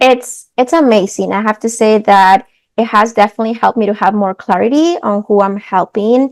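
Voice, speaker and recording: The speaker moves at a fairly quick pace with a Spanish accent. Pitch variation is ordinary. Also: woman, fairly high pitch for a woman. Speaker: coach for mothers. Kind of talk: interview.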